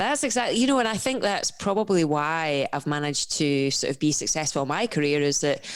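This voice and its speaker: Fairly quick speech from a woman with a very deep, low voice and a Scottish accent. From Scotland. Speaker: professional endurance athlete and coach. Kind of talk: podcast interview. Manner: animated.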